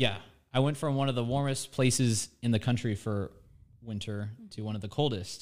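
With an American accent, a man talks at a moderate pace in an unremarkable speaking voice. His intonation is fairly even, and the recording is very clean with a silent background. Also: medium pitch for a man. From Florida, Nature Coast. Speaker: TV meteorologist. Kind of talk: casual chat.

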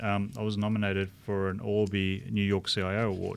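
This man's voice sits fairly low. He talks with an Australian accent. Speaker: chief information officer. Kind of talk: live interview.

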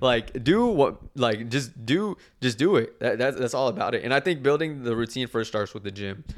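In a Texan accent, a man with a medium pitch speaks at a moderate pace with lively intonation. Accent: Texan American. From Texas, Dallas area. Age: 20s. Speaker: social media content creator. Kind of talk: casual chat.

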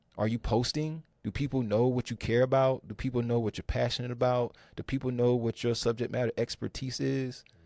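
An unremarkable speaking voice talks at a fairly quick pace with an American accent. The sound is dry and close with no echo, and the recording is very clean against a silent background. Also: man. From North Carolina, Triangle area. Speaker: tech recruiter. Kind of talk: podcast interview.

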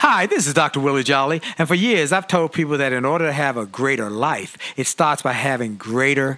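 Over noticeable background noise, a man with a fairly high pitch sounds upbeat and energetic, keeping a moderate pace and ordinary pitch variation. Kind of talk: radio host patter. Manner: hyped, upbeat, energetic, catchphrase-laden.

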